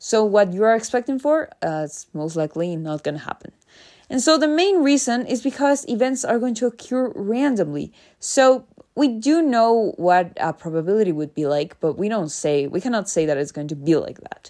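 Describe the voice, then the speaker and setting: A woman's fairly high, dark and mellow voice with a Spanish accent, very wide pitch swings and a moderate pace, in a very clean recording with a silent background. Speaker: educational podcast host. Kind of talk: lecture. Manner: casual with many fillers.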